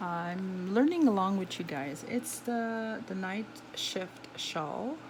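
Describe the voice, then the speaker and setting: A woman with a non-native accent speaks very slowly, her voice somewhat breathy. Her intonation is lively, and room echo is audible. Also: medium pitch for a woman. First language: not English. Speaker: knitting tutor. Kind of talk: tutorial. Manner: halting.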